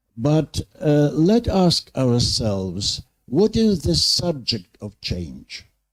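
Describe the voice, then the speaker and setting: Pitch swings very widely in this somewhat breathy voice at a very slow pace. The recording is very clean, with a silent background. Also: man. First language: Ukrainian. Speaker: university leader, panelist. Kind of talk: panel discussion. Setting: conference panel with audience. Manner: hesitant.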